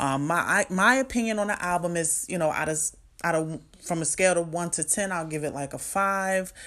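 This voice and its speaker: A woman speaks at a fairly quick pace in a fairly low pitch, with ordinary pitch variation and an animated, bright, sharp tone. The recording is very clean, with a silent background. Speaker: podcast host. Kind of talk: casual solo commentary.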